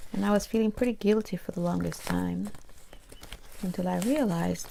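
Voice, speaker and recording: A soft-spoken, whispering voice. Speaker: ASMR creator. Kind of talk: casual talk to camera. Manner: soft-spoken, whispered.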